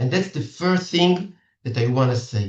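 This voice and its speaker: A man speaks with an Israeli accent. His voice is somewhat breathy. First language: Hebrew. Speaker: matchmaker. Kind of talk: seminar talk. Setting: video call. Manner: halting.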